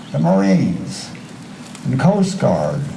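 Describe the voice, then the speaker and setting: Against noticeable background noise, a man with an American accent speaks very slowly, with very wide pitch swings. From Illinois, USA. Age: 80s+. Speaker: war veteran. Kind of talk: memorial day speech.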